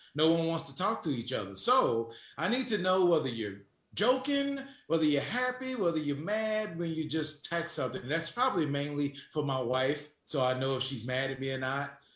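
A man with an American accent and a fairly high pitch talks at a moderate pace, using very wide pitch swings, with audible room echo. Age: 40s. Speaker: sports radio host. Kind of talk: casual chat.

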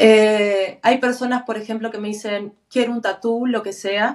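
A medium-pitched woman's voice at a fairly slow pace. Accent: Argentine. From Argentina. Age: 40s. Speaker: tattoo artist. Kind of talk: interview conversation.

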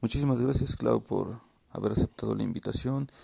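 A man speaks at a moderate pace with a Mexican accent. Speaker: podcast host. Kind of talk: casual interview. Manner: halting, repeats words.

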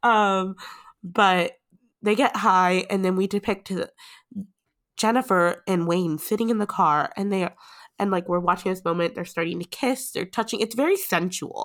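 A woman with a plain, everyday voice speaks in an American accent at a moderate pace. Her pitch is medium with ordinary variation, and the recording is very clean with a silent background. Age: 20s. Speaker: podcast host. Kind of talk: casual chat.

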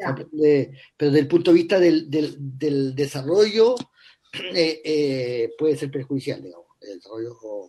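Here a man's voice sits fairly high in pitch yet has a dark, mellow tone. He speaks at a moderate pace with lively intonation. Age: 50s. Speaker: writer and screenwriter. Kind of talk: interview. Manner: halting, many repetitions.

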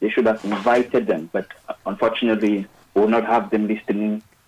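A man talks in an ordinary speaking voice at a medium pitch. His pace is fairly quick. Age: young. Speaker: radio caller. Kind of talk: phone-in comment. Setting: phone call.

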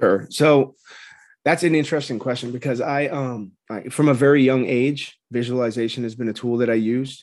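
A man with an American accent and an ordinary speaking voice, medium in pitch, with fairly even intonation, a moderate pace and a quiet background. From Southern California, Orange County. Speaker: formerly incarcerated person. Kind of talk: interview.

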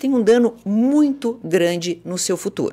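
Speaking at a fairly slow pace, a woman moves through very wide pitch swings on a very clean recording with a silent background. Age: 50s. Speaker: psychologist and former radio host. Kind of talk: casual chat.

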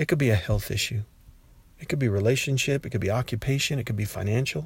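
Somewhat breathy, a man with a medium pitch talks at a very fast pace on a very clean recording with a silent background. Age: 50s. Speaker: podcaster and teacher. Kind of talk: casual devotional monologue.

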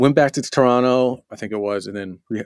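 A man with a plain, everyday voice, fairly even intonation and a fairly quick pace. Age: 40s. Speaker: mixing engineer and producer. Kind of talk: casual interview.

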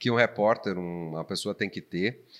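In a quiet background, a man speaks at a moderate pace in a plain, everyday voice, his pitch varying in an ordinary way. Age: 40s. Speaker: podcast host and local TV presenter. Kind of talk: casual chat.

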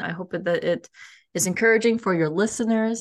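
With an unremarkable speaking voice and an American accent, a woman talks in a fairly high pitch with ordinary pitch variation. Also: quiet background. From US. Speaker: cultural intelligence coach and author. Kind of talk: interview conversation. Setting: podcast interview.

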